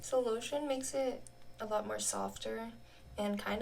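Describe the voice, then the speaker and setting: A woman speaks with an American accent at a fairly slow pace. Noticeable background noise runs under her voice. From United States. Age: 20s. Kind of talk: casual talk to camera.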